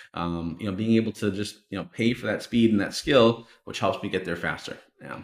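This man speaks in an ordinary speaking voice, pitched fairly low. His pace is fairly quick and his intonation fairly even. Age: 30s. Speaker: online course entrepreneur. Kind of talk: interview.

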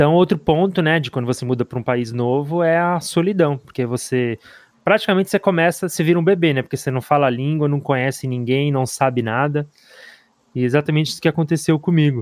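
Very fast speech from a man, pitched fairly high, with ordinary pitch variation. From Brazil. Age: 30s. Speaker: podcast co-host. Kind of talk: interview.

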